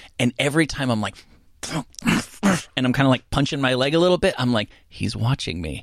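Speaking at a moderate pace, a man with a medium pitch uses lively intonation and vocal fry. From New Jersey. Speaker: radio talk show host. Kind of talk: casual interview. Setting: studio.

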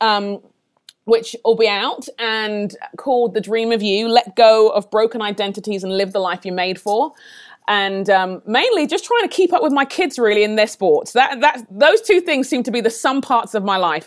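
In a London accent, a woman speaks at a fairly high pitch and a moderate pace. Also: lively intonation. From London, England (Nigerian parents). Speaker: leadership trainer and author. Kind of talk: interview.

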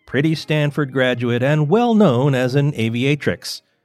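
Music plays in the background as a man talks in an amused tone. His pitch sits in the medium range. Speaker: podcast host. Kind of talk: true-crime narration, scripted historical storytelling. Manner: wry, conversational, lightly amused storyteller.

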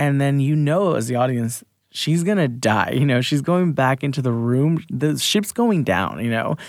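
On a very clean recording with a silent background, a man talks at a moderate pace in a plain, everyday voice with fairly high pitch. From US, Mexican immigrant family. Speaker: actor. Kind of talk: casual interview chat. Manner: casual, many fillers (um, like, you know).

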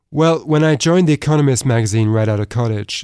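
A man with a British accent speaks at a fairly quick pace. The sound is dry and close with no echo, on a very clean recording with a silent background. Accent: British, little American left. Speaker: author and economics fellow. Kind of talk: interview.

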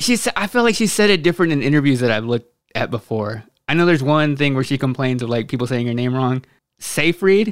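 With an American accent, a man talks at a very fast pace. His fairly high pitch has lively intonation. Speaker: movie podcast host. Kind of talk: casual chat.

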